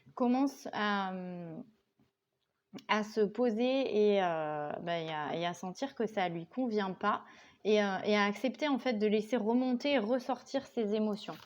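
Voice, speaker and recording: A woman speaks very slowly at a fairly high pitch with ordinary variation. The background is quiet. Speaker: tarot card reader. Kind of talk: tarot reading. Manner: hesitant, many fillers.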